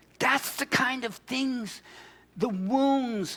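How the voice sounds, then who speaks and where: A man speaks at a very slow pace with lively intonation over noticeable background noise. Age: 60s. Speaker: pastor. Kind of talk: sermon. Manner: animated.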